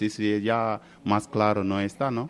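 The speaker is a man. His pitch is fairly low. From Senegal. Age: 20s. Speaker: professional footballer. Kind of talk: interview. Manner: halting, many fillers.

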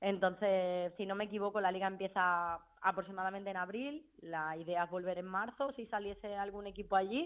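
An unremarkable speaking voice moves at a fairly quick pace with hardly any pauses. The intonation stays fairly even. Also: woman, medium pitch for a woman. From Spain. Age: 30s. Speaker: footballer. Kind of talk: interview.

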